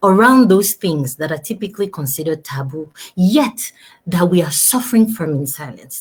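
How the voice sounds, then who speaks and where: A somewhat breathy woman at a moderate pace, her pitch swinging very widely. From Togo. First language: French. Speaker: talk show host. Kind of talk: live stream talk show. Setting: live video stream. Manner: animated.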